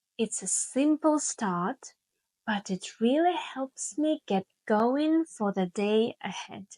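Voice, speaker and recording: A woman's warm-toned voice at a very slow pace with very wide pitch swings, dry and close with no echo. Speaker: English teacher. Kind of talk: slow English podcast lesson narration. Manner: slow, clear; warm, friendly.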